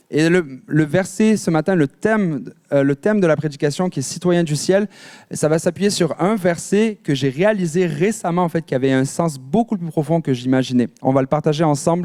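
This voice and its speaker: A man speaks at a high pitch and a moderate pace. His pitch variation is ordinary. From France, Marseille. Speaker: pastor. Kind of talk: sermon. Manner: animated.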